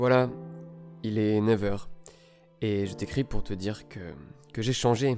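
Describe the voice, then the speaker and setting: With ordinary pitch variation, the speech moves fairly slowly over background music. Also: man. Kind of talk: literary reading of a love letter, spoken to himself.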